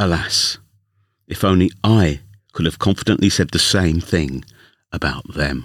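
A man with a London accent speaks at a very deep, low pitch and a fairly slow pace, in a warm, amused tone. He pauses long and often, and the recording is very clean with a silent background. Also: ordinary pitch variation, very even loudness. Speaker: union official turned podcast storyteller. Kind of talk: literary audiobook reading, scripted first-person narration. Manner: measured, warm storyteller pacing with wry, lightly amused asides.

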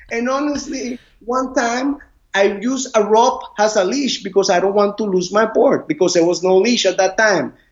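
Loud and at a moderate pace, a man with a Spanish accent speaks at a high pitch with ordinary pitch variation. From Costa Rica, Caribbean side. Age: 40s. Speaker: surf instructor. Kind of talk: interview. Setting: video call. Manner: halting.

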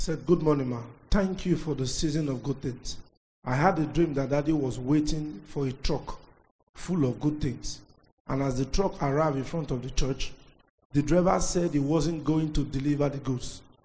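Somewhat breathy, a man speaks with a dark, mellow tone, a fairly high pitch and fairly even intonation. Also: moderate pace. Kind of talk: reading aloud.

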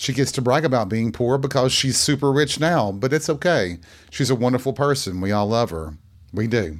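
At a moderate pace, a man speaks at a medium pitch with lively intonation. The recording is very clean, with a silent background. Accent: slight East Tennessee. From Tennessee, near the Smoky Mountains. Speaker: podcast host. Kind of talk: casual storytelling monologue.

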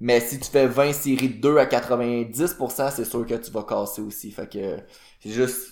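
With a Quebec accent, this very slow speaker keeps a fairly even intonation while the loudness swings widely. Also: man, medium pitch for a man. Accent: Québécois French. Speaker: fitness podcast co-host. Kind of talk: casual chat. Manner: hesitant, many fillers.

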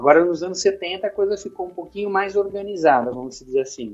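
A man speaks at a high pitch. The variation in his pitch is ordinary. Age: 50s. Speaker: pilates instructor. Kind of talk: interview. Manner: halting.

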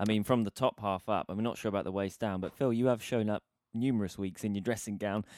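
Speaking at a very fast pace in a British accent, a man uses a fairly low pitch and fairly even intonation, the very clean recording dry and close with no echo and a silent background. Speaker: podcast host, guitarist. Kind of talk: casual chat.

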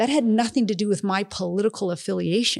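A medium-pitched woman at a very fast pace, with ordinary pitch variation, on a very clean recording with a silent background. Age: 50s. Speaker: former college soccer coach. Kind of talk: casual interview chat.

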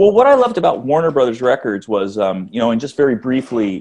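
A man talks at a fairly quick pace. His pitch is medium with ordinary variation. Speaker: author. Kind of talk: interview. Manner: halting.

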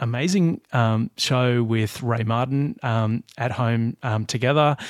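With an Australian accent, a man speaks at medium pitch with ordinary pitch variation. The recording is very clean, with a silent background and a dry, close sound with no echo. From Australia, Blue Mountains. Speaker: podcast host. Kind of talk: casual chat.

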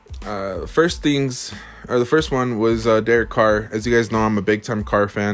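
Noticeable background noise sits under a man whose voice is fairly low in pitch. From US, Mexican-American family. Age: 20s. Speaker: sports podcast host. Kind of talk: solo podcast commentary. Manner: casual, many fillers.

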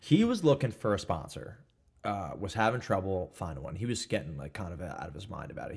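The voice is somewhat breathy and races along at a very fast pace. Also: man. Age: 20s. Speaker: construction worker. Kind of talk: casual chat.

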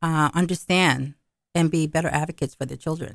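A woman with an American accent, a plain, everyday voice, fairly low pitch, ordinary pitch variation and a fairly quick pace, in dry, close sound with no echo. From Brooklyn, New York. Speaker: school committee member. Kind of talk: interview.

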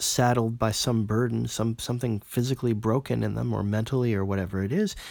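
The recording is very clean, its background silent. A man's speech moves at a moderate pace. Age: 40s. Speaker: philosophy podcaster. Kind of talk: monologue analysis.

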